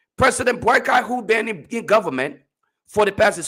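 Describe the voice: Doing a put-on character voice, a man sounds hoarse and high-pitched, with lively intonation at a fairly quick pace.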